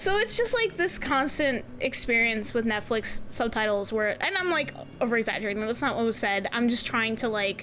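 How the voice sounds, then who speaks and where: Backed by music, a woman talks at a moderate pace with lively intonation, an animated tone, very even loudness and hardly any pauses. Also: fairly high pitch for a woman. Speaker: streamer. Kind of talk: casual chat.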